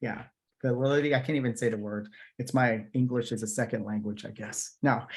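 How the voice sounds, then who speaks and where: A plain, everyday voice: a man at medium pitch, talking at a fairly quick pace with fairly even intonation. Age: 30s. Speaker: political commentator and interviewer. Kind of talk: political debate conversation.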